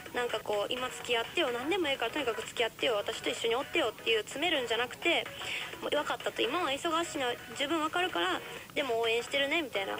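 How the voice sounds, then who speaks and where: A woman's high voice at a very fast pace in a Kansai accent, lively in intonation, with clear music in the background. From Kansai, Japan. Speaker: radio host. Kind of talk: radio advice talk. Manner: passionate. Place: studio.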